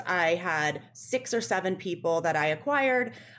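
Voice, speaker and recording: Here is a woman with a plain, everyday voice at a medium pitch. The recording is very clean, with a silent background. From Western Pennsylvania, near Pittsburgh. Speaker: digital media executive, former beauty editor. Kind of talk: interview.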